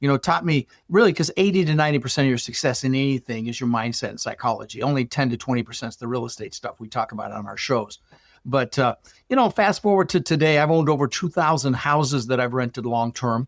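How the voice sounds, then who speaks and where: Recorded very cleanly against a silent background, with a dry, close sound and no echo, a man with a General American accent speaks at a very fast pace with ordinary pitch variation. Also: medium pitch for a man. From Colorado, US (Dutch-born). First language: Dutch. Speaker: real estate investor. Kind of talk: podcast interview. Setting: podcast. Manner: animated.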